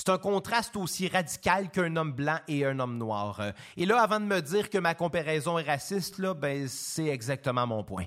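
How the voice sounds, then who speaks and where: A man with a Quebec accent and a fairly high pitch, very wide pitch swings, on a very clean recording with a silent background. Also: moderate pace. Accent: Québécois French. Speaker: podcast host, musician. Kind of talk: scripted narration.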